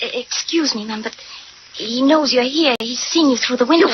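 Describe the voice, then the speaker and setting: High-pitched, female-sounding put-on character voice at a fairly quick pace. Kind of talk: 1940s radio acting. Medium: old radio play. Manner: hesitant, deferential.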